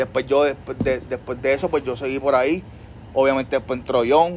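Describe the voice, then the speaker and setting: This man speaks at a very fast pace in a medium pitch. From Puerto Rico, Trujillo Alto. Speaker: photographer. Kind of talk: casual interview chat. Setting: outdoor patio at home. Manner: halting, many fillers.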